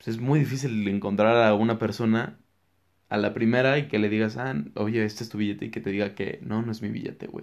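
At a fairly quick pace, a man talks in an ordinary speaking voice of medium pitch with fairly even intonation. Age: 20s. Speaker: young entrepreneur and business student. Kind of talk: interview.

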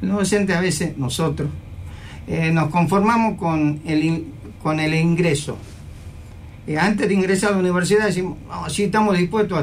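The speaker talks at a fairly quick pace with ordinary pitch variation. Room echo is audible. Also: man. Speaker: university security chief. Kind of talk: radio interview. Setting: radio studio.

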